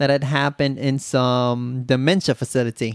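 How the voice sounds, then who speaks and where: A man with a medium pitch talks at a fairly slow pace with a Visayan Filipino accent. The sound is dry and close, with no echo. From southern Philippines (Bisaya-speaking). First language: Bisaya (Cebuano). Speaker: podcast host. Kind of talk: casual monologue. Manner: animated.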